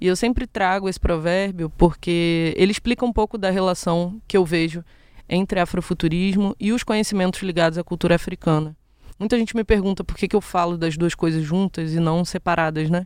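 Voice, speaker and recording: A woman with a fairly low pitch speaks at a fairly quick pace, her intonation fairly even. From Rio de Janeiro, west zone (Brazil). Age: 20s. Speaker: podcast host and educator. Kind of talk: solo educational podcast monologue.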